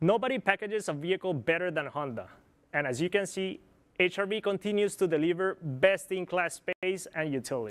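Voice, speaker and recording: A man with a Spanish accent talks fairly quickly in a high voice with ordinary pitch variation. The sound is dry and close with no echo, on a very clean recording with a silent background. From Colombia. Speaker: product planner. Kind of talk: corporate presentation.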